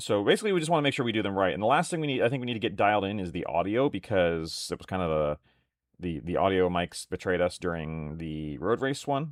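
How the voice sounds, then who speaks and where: A man talks loudly at a very fast pace. His fairly low voice moves through very wide pitch swings. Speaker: miniatures hobby streamer. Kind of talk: casual live stream chat while painting. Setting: live stream with webcam.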